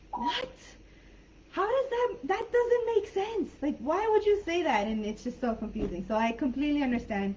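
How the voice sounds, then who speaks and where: An American accent colors this woman's high-pitched speech, which moves at a moderate pace through very wide pitch swings over noticeable background noise. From San Diego-Tijuana border, US/Mexico. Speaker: online English teacher. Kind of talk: live online class chat. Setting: live video call.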